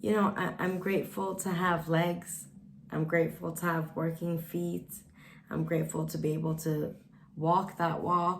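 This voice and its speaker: A woman's fairly low voice carries vocal fry and fairly even intonation. She speaks at a fairly slow pace, with audible room echo. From Sweden. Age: 20s. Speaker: vlogger. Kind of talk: casual vlog monologue.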